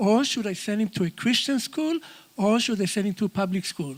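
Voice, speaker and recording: A speaker with a slight Israeli accent talks at a moderate pace with lively intonation. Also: man. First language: Hebrew. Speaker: audience member. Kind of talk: audience statement.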